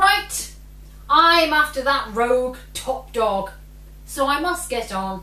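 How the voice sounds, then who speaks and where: A woman puts on a gruff character voice with a high pitch. She talks at a fairly slow pace. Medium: read story.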